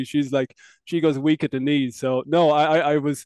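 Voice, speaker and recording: With an Irish accent, a man at a fairly high pitch speaks in monotone, flat intonation, the sound dry and close with no echo. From Ireland.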